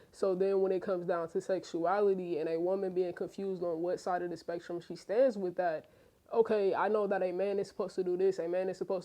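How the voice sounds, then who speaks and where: A woman speaks in an ordinary speaking voice at a medium pitch. Her intonation is fairly even. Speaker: podcast co-host. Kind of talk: casual chat.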